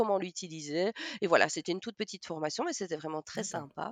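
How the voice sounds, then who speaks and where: The speech moves at a moderate pace with ordinary pitch variation, recorded with a dry, close sound with no echo against a quiet background. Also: woman. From Belgium, Namur. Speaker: teacher of deaf children and sign-song performer. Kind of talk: interview.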